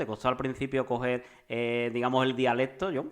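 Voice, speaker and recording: A man is speaking. His pace is fairly quick. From Andalusia, Seville. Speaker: podcast host. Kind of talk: interview. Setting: remote call. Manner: fast.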